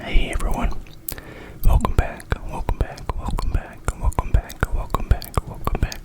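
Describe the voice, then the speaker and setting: Amid noticeable background noise, a man is whispering at a moderate pace. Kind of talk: ASMR whisper ramble. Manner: whispered.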